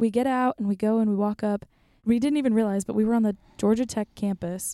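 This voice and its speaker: Her fairly high voice has a dark, mellow tone and fairly even intonation, as the woman is heard in a dry, close sound with no echo. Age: 20s. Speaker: podcast guest, college student. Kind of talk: casual chat. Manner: laughs often.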